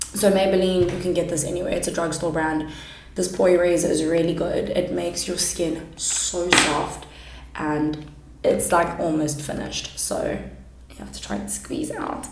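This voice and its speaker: The pace is moderate. Audible room echo and noticeable background noise accompany the voice. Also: woman. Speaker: makeup YouTuber and kindergarten teacher. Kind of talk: makeup tutorial. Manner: loud.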